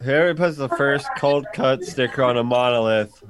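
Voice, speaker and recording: A man talks at a moderate pace, his intonation lively, with noticeable background noise present. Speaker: podcast host. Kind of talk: casual banter over video call. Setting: video call. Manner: loud, animated.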